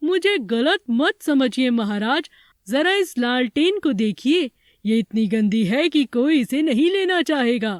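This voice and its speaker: A cartoonish character voice, female-sounding and high-pitched, moves at a fairly slow pace. The recording is very clean, with a silent background. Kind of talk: children's cartoon voice. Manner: polite, measured.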